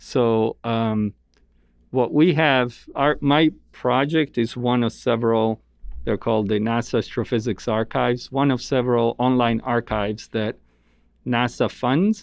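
A man talks with an Italian accent at a fairly slow pace. His loudness stays very even, and his intonation is fairly even. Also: medium pitch for a man. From Italy. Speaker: astronomer. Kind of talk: interview.

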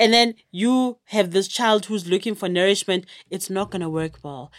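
A woman's unremarkable speaking voice at medium pitch, lively in intonation and moderate in pace, on a very clean recording with a silent background. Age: 30s. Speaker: YouTuber and exercise specialist. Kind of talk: casual chat.

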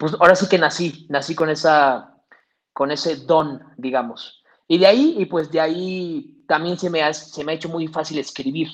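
Speaking at a moderate pace with a central Mexican accent, a man has a fairly high pitch and fairly even intonation. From Mexico, Toluca. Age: 20s. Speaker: actor, filmmaker and content creator. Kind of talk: casual interview.

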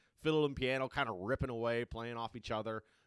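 A man has a normal speaking voice at a medium pitch and a fairly quick pace. The recording is dry and close, with no echo. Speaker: music podcast co-host. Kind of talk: casual album review chat. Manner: casual, relaxed, profane.

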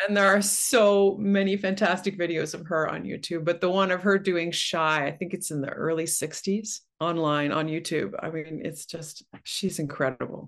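A woman with a Canadian accent at a moderate pace, fairly even intonation and hardly any pauses, over a quiet background. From Ontario, Canada (Oshawa). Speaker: opera singer. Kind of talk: casual chat.

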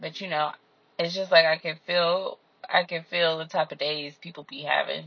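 A woman speaks at a moderate pace with fairly low pitch, monotone, flat intonation and big swings in loudness. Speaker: solo podcaster. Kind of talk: casual monologue.

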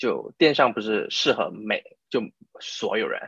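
Here a man is speaking. The sound is dry and close, with no echo. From Malaysia. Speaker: e-commerce entrepreneur. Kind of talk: interview. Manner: halting; code-switching with English.

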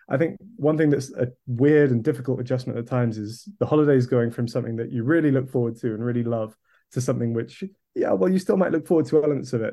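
Very fast and medium in pitch, a man speaks with a southern English accent and ordinary pitch variation. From England, Kent. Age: 20s. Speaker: video producer. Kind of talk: podcast interview.

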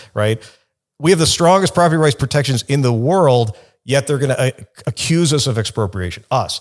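With a Chicago accent, a man speaks fairly quickly at a fairly high pitch with lively intonation, on a very clean recording with a silent background. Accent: Chicago American English. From US Midwest, Chicago. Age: 50s. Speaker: lawyer, company general counsel. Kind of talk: podcast interview.

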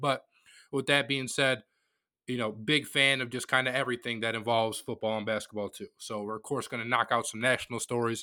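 A man's normal speaking voice at a medium pitch, fairly quick pace, with an American accent. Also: fairly even intonation. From Metro Detroit, Michigan. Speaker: sports podcast host. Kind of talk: casual monologue. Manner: conversational, filler-heavy.

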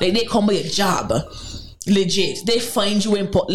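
Over noticeable background noise, a woman talks with an animated tone. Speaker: radio co-host. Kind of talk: casual radio banter. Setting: radio studio. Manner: animated, chatty.

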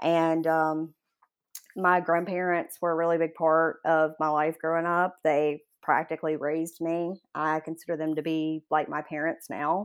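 On a very clean recording with a silent background, a woman with a fairly low voice and an American accent speaks at a moderate pace in a flat monotone. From US South, Jackson, Mississippi. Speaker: law student. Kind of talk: interview.

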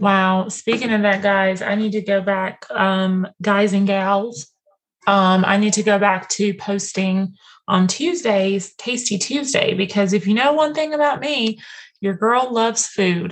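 A woman's ordinary speaking voice at a medium pitch, with ordinary pitch variation and a fairly slow pace. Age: 30s. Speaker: podcast host. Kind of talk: casual chat.

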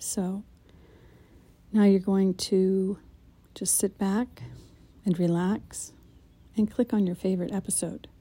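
A very slow, somewhat breathy delivery with long, frequent pauses, a dark, mellow tone, calm, soothing manner and monotone, flat intonation, on a very clean recording with a silent background. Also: woman, medium pitch for a woman. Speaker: meditation guide. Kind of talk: guided meditation intro, calm instructional walkthrough. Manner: calm, soothing, unhurried; gentle, warm and instructive.

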